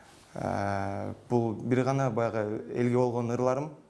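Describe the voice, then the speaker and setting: Fairly even intonation in a man's dark, mellow-toned voice. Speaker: singer. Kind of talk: interview answers. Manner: hesitant, many fillers.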